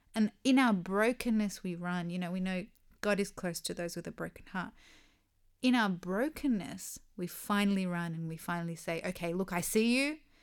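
A woman with an ordinary speaking voice, medium pitch, moderate pace and ordinary pitch variation. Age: 30s. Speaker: podcast co-host, mother. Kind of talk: casual chat.

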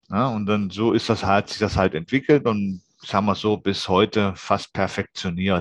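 A man with a normal speaking voice and fairly low pitch talks at a moderate pace. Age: 40s. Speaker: occupational safety inspector for tree climbing. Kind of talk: interview.

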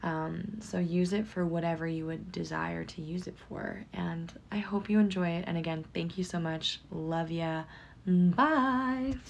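Speaking fairly slowly, a woman uses an ordinary speaking voice at a fairly low pitch. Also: ordinary pitch variation. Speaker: psychic medium and hypnotherapist. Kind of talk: guided meditation; casual chat intro. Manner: calm, hypnotic, flowing.

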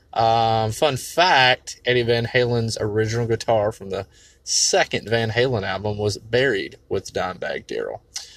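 A man with an American accent has a plain, everyday voice at medium pitch. He speaks at a fairly slow pace with ordinary pitch variation. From North Carolina. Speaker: caller leaving voice message. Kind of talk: recorded voice message.

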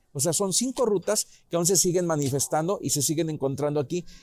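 Lively intonation comes through a dry, close sound with no echo, with noticeable background noise. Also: man. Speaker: local history teacher. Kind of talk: informal history talk. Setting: restaurant.

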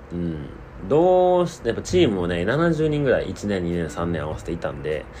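With very wide pitch swings, a man talks at a fairly quick pace in a fairly low pitch. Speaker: podcast host. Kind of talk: casual monologue.

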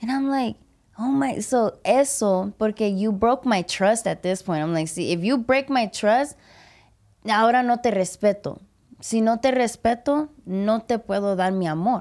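The recording is very clean, with a silent background. A woman with a fairly high pitch speaks at a fairly slow pace with ordinary pitch variation. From Puerto Rican and Mexican heritage, US. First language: English (speaking Spanish). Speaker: podcast host and comedian. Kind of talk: casual chat. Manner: loud; animated.

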